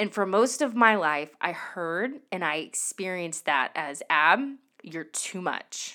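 A woman speaks loudly in an animated tone with very wide pitch swings, on a very clean recording with a silent background. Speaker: podcast host and singer-songwriter. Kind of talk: solo podcast monologue, casual and confessional. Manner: animated, high energy, loud.

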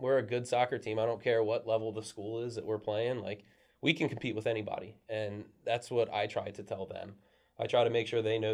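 A man's medium-pitched voice, flat and monotone, at a very fast pace. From Maryland, US (Brunswick, Frederick County). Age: 30s. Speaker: high school soccer coach. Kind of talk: casual interview.

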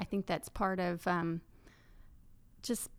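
On a very clean recording with a silent background, a woman speaks with fairly even intonation in an East Texas accent. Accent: East Texas Southern. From Texas, Paris. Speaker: farmer and workshop teacher. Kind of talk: casual interview.

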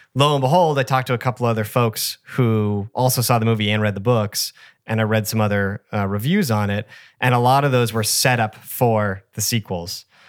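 Dry and close with no echo, the very clean recording with its silent background carries a man with an ordinary speaking voice of medium pitch, talking at a fairly quick pace with fairly even intonation. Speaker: podcast host. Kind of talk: casual chat.

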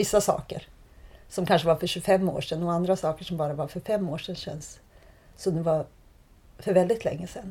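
Speaking at a fairly quick pace with long, frequent pauses, a woman has a dark, mellow, somewhat breathy tone, fairly even intonation and big swings in loudness. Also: fairly low pitch for a woman. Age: 40s. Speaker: photographer. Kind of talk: interview conversation. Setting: in person, Malmö.

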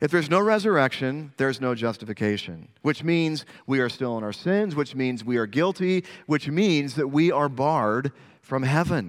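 On a very clean recording with a silent background, a man with a fairly high pitch talks at a moderate pace with lively intonation, an unremarkable speaking voice. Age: 40s. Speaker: pastor. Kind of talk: sermon.

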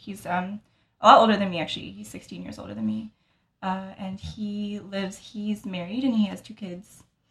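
With an American accent, a woman talks at a fairly quick pace in a normal speaking voice. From US, Utah. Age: 20s. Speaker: medical student. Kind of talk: casual chat. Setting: apartment.

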